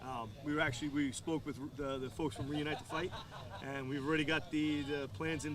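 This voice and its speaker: A man's fairly high voice in a strong New York accent, fairly quick, with fairly even intonation and audible room echo. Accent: New York, strong, persistent. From New York, Long Island. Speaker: business owner, military veteran. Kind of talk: interview. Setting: outdoors at golf course. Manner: halting, repeats words.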